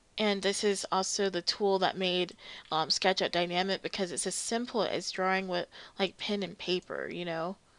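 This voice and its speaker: Against a quiet background, a woman speaks at a moderate pace with a medium pitch and monotone, flat intonation. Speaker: 3D modeling tutorial creator. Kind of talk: tutorial. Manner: casual, many filler ums.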